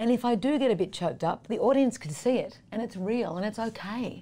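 Lively intonation and a dark, mellow tone at a fairly quick pace, with an Australian accent. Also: woman. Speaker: singer-songwriter. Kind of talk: interview.

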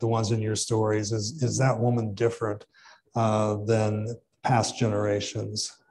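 A man with an American accent talks in a medium pitch with a dark, mellow tone that is somewhat breathy. His intonation is monotone and flat, with light background noise behind him. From southeastern Illinois. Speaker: professor and author; professor. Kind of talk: interview. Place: hall.

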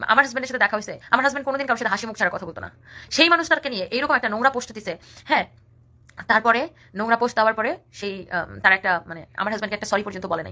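Bright, sharp tone with big swings in loudness, an animated delivery and lively intonation. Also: woman, fairly high pitch for a woman. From rural Bangladesh. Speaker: social media personality. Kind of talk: live stream rant.

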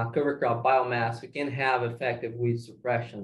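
There is a somewhat breathy quality to this man's voice. He keeps a moderate pace. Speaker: agronomy PhD student. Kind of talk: research presentation. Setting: video call. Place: office. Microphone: webcam.

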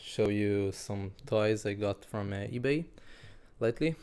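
Speaking fairly slowly with a non-native accent, a man has a fairly low voice with a dark, mellow tone. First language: not English. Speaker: ATV rider. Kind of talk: casual product review to camera. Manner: hesitant, mumbling. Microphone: phone near.

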